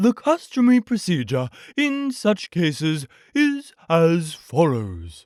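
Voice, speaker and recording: In a very clean recording with a silent background, a man does a put-on character voice at a high pitch with very wide pitch swings and a fairly slow pace. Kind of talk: bedtime story. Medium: read story. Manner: pompous, wordy.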